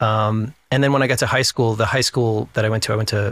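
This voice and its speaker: A man with an American accent has a normal speaking voice at medium pitch, fairly even intonation and a fairly quick pace. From US Northeast (New Hampshire). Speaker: actor. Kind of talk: casual chat.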